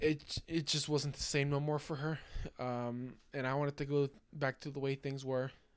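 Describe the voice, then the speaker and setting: A man's fairly high voice, flat and monotone, on a very clean recording with a silent background. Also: moderate pace. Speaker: podcaster. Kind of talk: casual monologue. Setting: at home late at night, recording at computer. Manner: halting, stuttering; lowered, soft-spoken.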